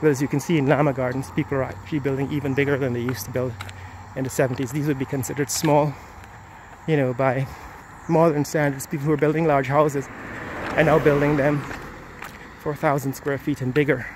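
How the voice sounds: A man at a medium pitch, talking at a fairly quick pace with little pitch movement over faint background noise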